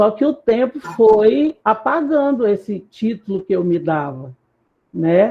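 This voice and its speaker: Her pitch leaps very widely up and down. The woman talks very slowly. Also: fairly high pitch for a woman. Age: 50s. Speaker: academic discussion participant. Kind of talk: roundtable discussion. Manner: halting, with many repetitions.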